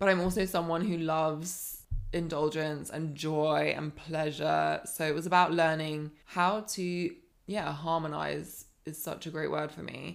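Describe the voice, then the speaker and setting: A woman speaks at a very deep, low pitch with monotone, flat intonation. Her pace is fairly slow. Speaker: life coach. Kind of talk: casual chat.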